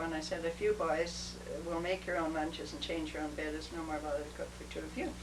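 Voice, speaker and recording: A woman with a Canadian accent talks at a fairly quick pace, with noticeable background noise and audible room echo. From British Columbia, Canada. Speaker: retired social worker. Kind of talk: oral history interview. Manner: halting.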